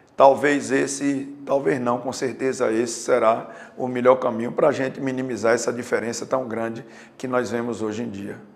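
With noticeable background noise behind him, a man speaks at a moderate pace and medium pitch, his intonation fairly even. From Juazeiro, Bahia, Brazil. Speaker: retired police colonel, mayoral pre-candidate. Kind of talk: interview.

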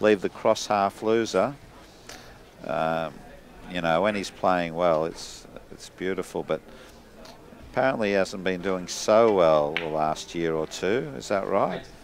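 With an Australian accent, a man speaks at a very deep, low pitch and a fairly slow pace. He uses ordinary pitch variation and takes long, frequent pauses. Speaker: sports commentator. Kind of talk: live sports commentary. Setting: billiards club.

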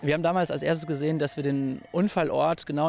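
At a fairly quick pace, a man with a high voice speaks in fairly even intonation, the sound dry with no echo. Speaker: interviewee. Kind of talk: interview answer. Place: garden. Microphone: handheld.

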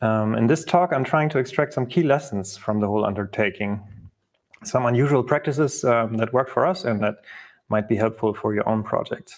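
Against a quiet background, a man speaks at a fairly quick pace with very even loudness and ordinary pitch variation. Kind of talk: conference talk.

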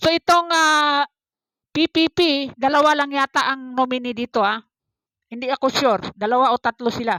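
A woman with a high pitch uses a raised, projected voice at a moderate pace, with ordinary pitch variation and a dry, close sound that has no echo. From Philippines, Davao City. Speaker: political vlogger. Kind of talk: reaction vlog commentary. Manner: hesitant, many fillers.

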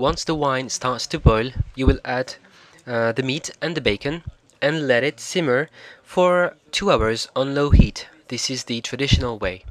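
The man speaks in a French accent. His pitch is medium with ordinary pitch variation. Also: fairly slow pace. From France. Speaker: cooking show host. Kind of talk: cooking tutorial voiceover. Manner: hesitant, with fillers.

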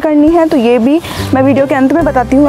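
Clear music plays in the background as a woman speaks. Her pitch is high, with ordinary variation. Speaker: fitness instructor. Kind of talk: tutorial. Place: garden.

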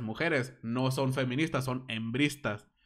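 In a quiet background, a man of medium pitch with a Mexican accent speaks at a moderate pace in a bright, sharp, animated tone with ordinary pitch variation. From Mexico. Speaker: gaming streamer and podcaster; gaming streamer, podcaster. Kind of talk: casual live-stream chat. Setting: live stream. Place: home room. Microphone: studio mic.

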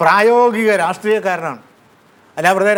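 A man with a high pitch speaks with fairly even intonation. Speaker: professor. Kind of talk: lecture. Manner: formal; halting.

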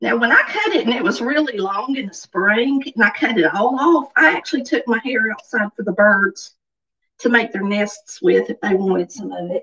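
A woman with a Southern US accent speaks at a fairly high pitch and moderate pace with lively intonation against a quiet background. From US South. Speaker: livestream vlogger. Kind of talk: casual chat. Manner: chatty, informal.

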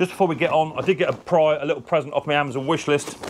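A man speaks at a very fast pace. Light background noise runs underneath. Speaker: mower repair channel host. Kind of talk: casual vlog chat. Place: workshop.

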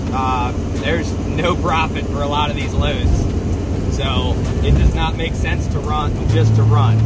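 Loud background noise sits behind a man's voice. The sound is dry, without echo. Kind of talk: casual vlog chat. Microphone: phone near.

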